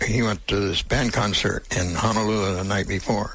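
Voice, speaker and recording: The man talks at a moderate speed. There is noticeable noise behind him. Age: 90s. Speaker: World War Two Navy veteran. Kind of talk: interview answer.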